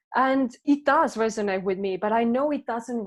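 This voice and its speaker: A woman with a non-native accent speaks at a moderate pace, her fairly high voice carrying fairly even intonation. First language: not English. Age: 30s. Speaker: transformation coach. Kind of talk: podcast interview.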